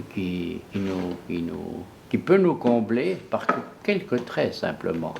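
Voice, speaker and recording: Very slow, fairly low male speech with ordinary pitch variation. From Swiss Jura. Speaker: painter and engraver. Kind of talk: documentary interview talk. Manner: passionate, hesitant.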